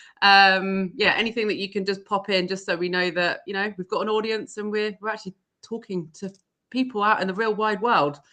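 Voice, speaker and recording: A woman with an English accent speaks at a fairly quick pace in a medium pitch. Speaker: events professional and live show host. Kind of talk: casual live-stream chat. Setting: live video stream. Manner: energetic.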